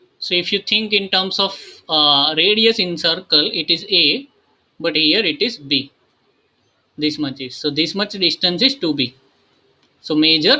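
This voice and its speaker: The delivery has lively intonation and moves at a moderate pace. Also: man. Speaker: math tutor. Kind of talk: lecture. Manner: halting, many fillers.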